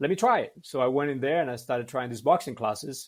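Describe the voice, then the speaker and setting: This man talks at a medium pitch in a Cuban accent. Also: very clean recording, silent background. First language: Spanish. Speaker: martial arts practitioner. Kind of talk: interview storytelling. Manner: hesitant with many fillers.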